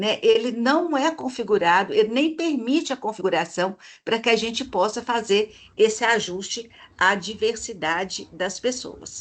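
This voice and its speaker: With a Minas Gerais accent, the speaker talks at a fairly slow pace. Intonation is lively over a quiet background. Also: woman, fairly high pitch for a woman. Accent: mineiro (Minas Gerais) Brazilian Portuguese. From Minas Gerais, Brazil. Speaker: researcher presenting her model. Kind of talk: online presentation / live stream. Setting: live video stream. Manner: hesitant fillers (eh, né).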